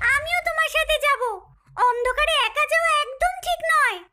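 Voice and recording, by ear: This female-sounding voice is a cartoonish character voice pitched extremely high. It moves at a moderate pace.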